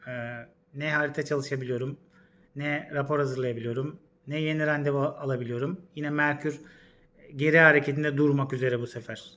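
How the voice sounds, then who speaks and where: At a fairly quick pace but with long, frequent pauses, a man talks in a fairly high, monotone, flat voice. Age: 40s. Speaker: astrologer. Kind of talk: casual vlog monologue. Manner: hesitant, many fillers.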